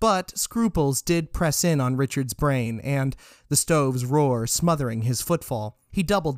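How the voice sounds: The delivery here is a natural reading voice.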